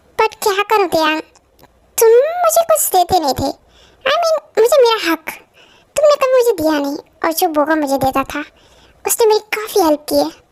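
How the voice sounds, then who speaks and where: Using a put-on character voice of extremely high pitch, the speaker moves at a moderate pace broken by long, frequent pauses. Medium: read story. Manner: defensive, careless.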